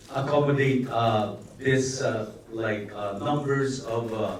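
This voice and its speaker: A man speaks at a very slow pace with fairly even intonation. Audible room echo and noticeable background noise surround him. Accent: Filipino. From Philippines. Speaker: actor. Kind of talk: press conference answer. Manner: halting, many fillers.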